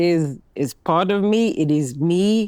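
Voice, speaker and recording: A woman with a Cape Town accent speaks very slowly with lively intonation over noticeable background noise. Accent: Cape Town accent, kept. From South Africa, Cape Town. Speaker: banking executive. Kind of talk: panel discussion.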